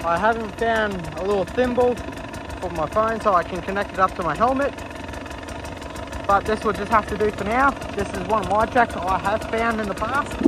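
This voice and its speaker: Moderate pace with long, frequent pauses, dry sound with no echo, and noticeable background noise. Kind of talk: casual vlog chat. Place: motorbike. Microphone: phone near.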